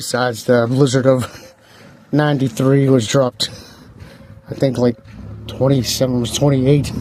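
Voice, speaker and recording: Someone speaks with an American accent at a moderate pace, leaving long, frequent pauses. The intonation stays monotone and flat. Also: man, medium pitch for a man. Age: 60s. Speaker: vlogger. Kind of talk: casual walking vlog. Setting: outdoors.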